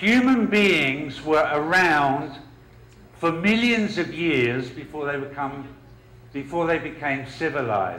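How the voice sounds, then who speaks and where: At a very slow pace with long, frequent pauses, a man with a London accent talks in a fairly high voice, with audible room echo and noticeable background noise. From London, England. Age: 40s. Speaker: professor. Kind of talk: lecture. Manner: hesitant with fillers.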